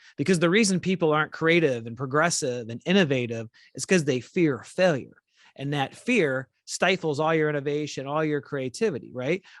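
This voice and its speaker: Against a quiet background, a man speaks at a moderate pace with a fairly high pitch and ordinary pitch variation. It is an ordinary speaking voice, with a dry, close sound and no echo. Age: 40s. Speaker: podcast host, former police leader. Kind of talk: interview podcast conversation.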